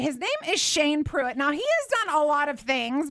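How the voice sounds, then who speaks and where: A woman speaks loudly in a high voice at a moderate pace. Noticeable noise sits in the background. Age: 40s. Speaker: radio host. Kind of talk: radio interview. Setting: radio studio.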